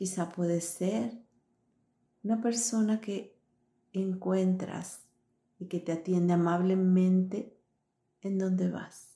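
A woman speaks at medium pitch in a soothing, gentle tone that is dark, mellow and somewhat breathy. Her pace is very slow and her intonation fairly even, with long, frequent pauses. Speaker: meditation guide and coach. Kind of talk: guided meditation. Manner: slow, soothing, gentle, calm; warm, encouraging, intimate.

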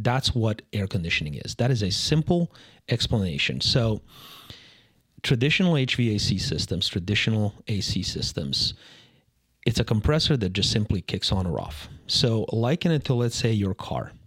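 Very wide pitch swings mark this man's somewhat breathy, medium-pitched voice at a moderate pace. The recording is very clean, with a silent background. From Serbia. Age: 40s. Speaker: HVAC expert. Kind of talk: casual interview.

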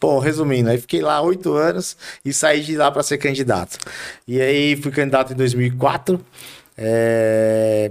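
Talking at a fairly slow pace, a man uses a plain, everyday voice with ordinary pitch variation. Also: medium pitch for a man. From Brazil, Carapicuíba (São Paulo state). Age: 40s. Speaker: city councillor. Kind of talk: interview.

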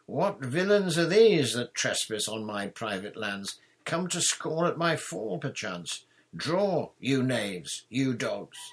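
A man shouts slowly in a put-on character voice with a slightly husky edge. His pitch swings widely. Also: medium pitch for a man.

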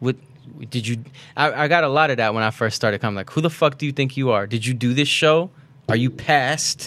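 At a fairly quick pace, a man with an unremarkable speaking voice and a medium pitch talks with ordinary pitch variation. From Baku, Azerbaijan; raised in Florida. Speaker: comedian. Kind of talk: casual chat.

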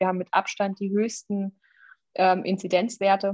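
A woman speaks at a moderate pace in a medium pitch, her intonation monotone and flat. The sound is dry and close, with no echo. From Thuringia, Jena. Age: 30s. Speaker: state politician and podcast co-host. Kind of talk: casual political chat. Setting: remote recording.

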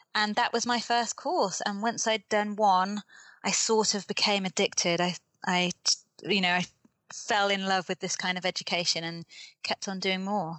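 A woman speaks in a British accent at a moderate pace. Her pitch is medium and her intonation fairly even. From UK. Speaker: development worker and author. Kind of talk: casual interview. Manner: hesitant, many fillers.

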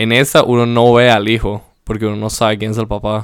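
His voice holds a medium pitch. The man's intonation stays monotone and flat. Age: 20s. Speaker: podcast co-host. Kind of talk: casual chat.

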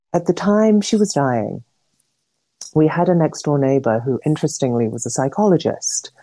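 A woman speaks in a calm tone at a moderate pace, her dark, mellow voice swinging very widely in pitch. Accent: English. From England. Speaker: interview guest, adoptee. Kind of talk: casual interview. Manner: calm, reflective.

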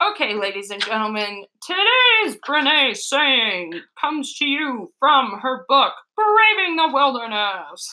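Delivered at a fairly slow pace, a put-on character voice sweeps through very wide pitch swings. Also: woman, high pitch for a woman. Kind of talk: announcer-style.

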